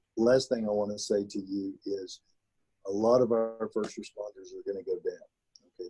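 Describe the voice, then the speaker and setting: A Texas accent in a dry, close sound with no echo. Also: man. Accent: Texas drawl. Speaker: county judge. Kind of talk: briefing on a forum call. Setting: conference call.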